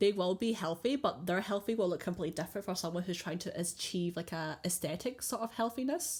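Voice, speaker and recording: A woman talks at a very fast pace, barely pausing at all. Her voice is somewhat breathy. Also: medium pitch for a woman, ordinary pitch variation. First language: not English. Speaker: podcast co-host. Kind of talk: casual chat.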